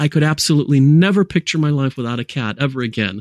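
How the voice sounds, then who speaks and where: Recorded very cleanly against a silent background with a dry, close sound and no echo, a man with an American accent and fairly high pitch talks at a fairly quick pace with an animated tone and lively intonation. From US and France, lives in England. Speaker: cat advocate and influencer. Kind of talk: casual interview chat. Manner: animated, talkative, humorous.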